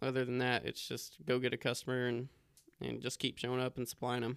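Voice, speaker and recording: The recording is very clean with a silent background. A man speaks at medium pitch and a moderate pace. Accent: West Texas. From Texas, Lubbock. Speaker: mobile hardware salesman. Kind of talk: casual chat.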